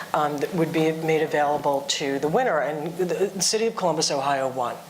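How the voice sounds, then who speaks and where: Very fast speech with audible room echo and noticeable background noise. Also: woman. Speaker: industry panelist. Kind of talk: panel discussion. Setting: conference panel.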